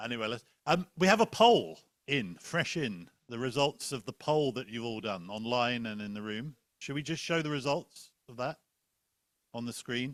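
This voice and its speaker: A man with an English accent and a medium pitch talks at a moderate pace with lively intonation and big swings in loudness, in a dry, close sound with no echo. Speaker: panel moderator. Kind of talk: moderated panel discussion. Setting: conference room with online audience.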